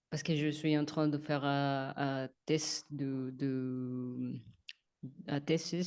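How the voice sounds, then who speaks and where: Someone with a non-native accent speaks very slowly against a quiet background. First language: not French (speaking French). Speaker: spiritual coach. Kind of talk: casual chat. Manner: halting.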